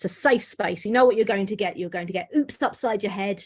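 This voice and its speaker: This is a woman's voice. It is somewhat breathy. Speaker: comedian. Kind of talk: stand-up.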